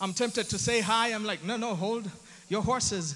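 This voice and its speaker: A man with a high pitch speaks in a raised, projected voice with an animated tone. His pace is moderate. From Uganda. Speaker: comedian and MC. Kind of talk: stand-up.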